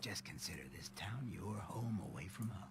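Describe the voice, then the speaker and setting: Over loud background noise, a man puts on a fairly low-pitched character voice at a moderate pace. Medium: video game. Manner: laid-back, smooth, streetwise.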